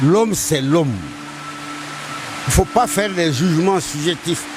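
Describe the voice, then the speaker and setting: Music plays in the background as a man talks. He keeps a moderate pace with ordinary pitch variation. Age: 70s. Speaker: elder interviewee. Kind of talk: interview.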